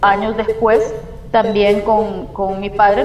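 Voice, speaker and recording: Music plays in the background as a woman with a medium pitch speaks at a fairly slow pace, with audible room echo. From El Salvador. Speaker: community environmental activist. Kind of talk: interview testimony.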